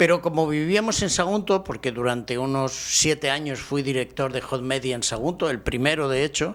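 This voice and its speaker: A man's fairly high voice, with ordinary pitch variation, moves at a moderate pace amid noticeable background noise. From Spain, Barcelona. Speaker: professor. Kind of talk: interview.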